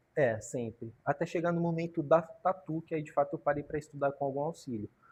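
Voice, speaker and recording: Over a quiet background, a man with a fairly high, somewhat breathy voice speaks at a moderate pace with ordinary pitch variation. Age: 30s. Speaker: graffiti artist and tattooist. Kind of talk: podcast interview. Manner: casual slangy.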